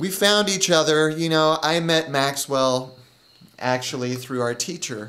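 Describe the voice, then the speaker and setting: There is noticeable background noise behind this man. He talks at a fairly slow pace with a fairly high pitch and ordinary pitch variation. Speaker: comedian. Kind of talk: comedy audition interview.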